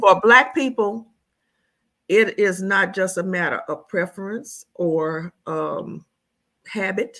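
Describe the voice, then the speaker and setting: A woman's bright, sharp tone at a very slow pace, with long, frequent pauses, ordinary pitch variation and a quiet background. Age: 70s. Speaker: expat living in Jamaica. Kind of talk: casual interview. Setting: video call. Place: home room.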